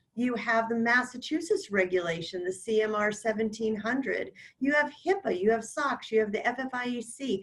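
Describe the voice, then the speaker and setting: In a normal speaking voice, a woman talks at a moderate pace. Her fairly high pitch carries lively intonation. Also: hardly any pauses. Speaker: company executive presenting. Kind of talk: webinar presentation. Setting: online webinar.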